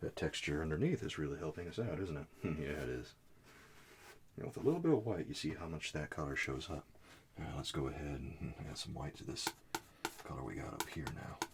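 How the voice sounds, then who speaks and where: A soft-spoken man with a very deep, low pitch and vocal fry, calm in tone, ordinary pitch variation, a fairly quick pace and long, frequent pauses. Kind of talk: oil painting tutorial narration, soft-spoken ASMR style. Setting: studio, painting at an easel. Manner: soft-spoken, calm, friendly.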